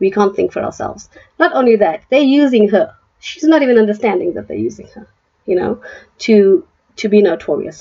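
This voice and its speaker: The voice has vocal fry and a dark, mellow tone, moving at a fairly quick pace. Its pitch swings very widely and its loudness rises and falls in big swings. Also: woman. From South Africa. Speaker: political commentary youtuber. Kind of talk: opinion commentary. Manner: animated; halting.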